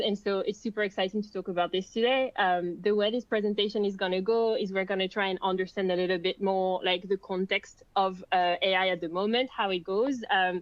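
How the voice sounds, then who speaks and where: A woman with a French accent speaks at a moderate pace in a medium pitch. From France. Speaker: content marketing lead. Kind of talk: webinar presentation. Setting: online webinar.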